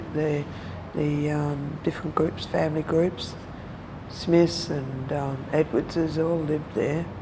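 Very slowly, a woman speaks in a very deep, low pitch. Her intonation is monotone and flat, with noticeable background noise. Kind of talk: interview, life story. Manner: halting.

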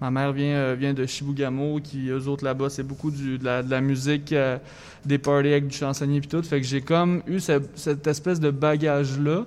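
The speech comes at a moderate pace with monotone, flat intonation. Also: man, fairly high pitch for a man. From Quebec, Thetford Mines (Chaudière-Appalaches). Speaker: singer-songwriter. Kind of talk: radio interview.

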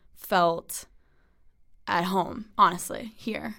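An ordinary speaking voice with an American accent moves at a fairly slow pace with lively intonation, captured in a very clean recording with a silent background. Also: woman. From US Northeast (Westchester, New York). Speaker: college student. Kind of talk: interview.

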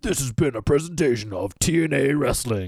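A man's put-on character voice at medium pitch and moderate pace. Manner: very serious.

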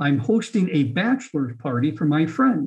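A man speaks with very wide pitch swings. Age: 60s. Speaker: healthcare executive and author. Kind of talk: interview.

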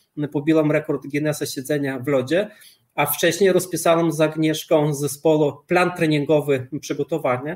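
With an unremarkable speaking voice, a man speaks at a moderate pace in a fairly high pitch with fairly even intonation. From Lithuania. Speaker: cold-exposure athlete and author. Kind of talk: interview.

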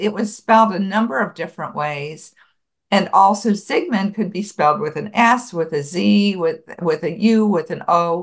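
Speaking at a moderate pace with an American accent, a woman has a plain, everyday voice at medium pitch with ordinary pitch variation. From Buffalo, New York, US. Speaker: author and genealogist. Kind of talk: interview.

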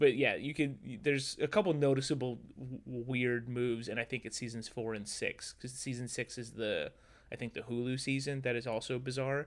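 A man's unremarkable speaking voice at medium pitch, moderate in pace, with fairly even intonation. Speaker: podcast guest. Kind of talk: casual banter.

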